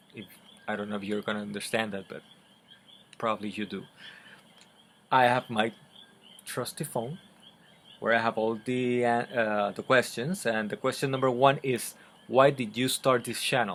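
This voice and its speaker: The delivery has fairly even intonation, big swings in loudness, and long, frequent pauses. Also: man, medium pitch for a man, moderate pace. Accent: Spanish. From Puerto Rico. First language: Spanish. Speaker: book vlogger. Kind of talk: casual vlog talk to camera. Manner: halting, many fillers and repeats; unedited, conversational.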